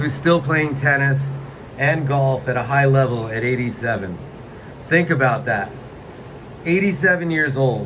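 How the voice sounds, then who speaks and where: Over noticeable background noise, a man with a fairly high voice and ordinary pitch variation talks at a fairly slow pace with long, frequent pauses. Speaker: podcast host. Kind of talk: casual talk to camera.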